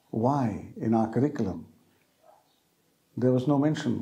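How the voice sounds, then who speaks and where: This man has a medium-pitched, somewhat breathy voice with a dark, mellow tone. He speaks at a fairly slow pace. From India, Jamshedpur. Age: 70s. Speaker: film critic. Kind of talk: interview.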